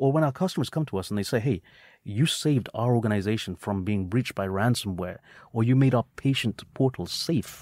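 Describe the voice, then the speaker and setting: Here a man with a British accent speaks at a medium pitch and a fairly quick pace, with lively intonation. The recording is very clean with a silent background, and the sound is dry and close with no echo. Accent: British-sounding. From England, UK, with high school in India. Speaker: tech company co-founder. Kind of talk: interview.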